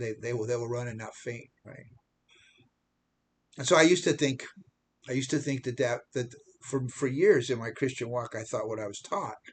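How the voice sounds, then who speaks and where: A man with a medium pitch and a somewhat breathy voice talks at a moderate pace with fairly even intonation, big swings in loudness, and long, frequent pauses. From United States. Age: 70s. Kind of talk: casual vlog monologue. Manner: halting, many repetitions and restarts.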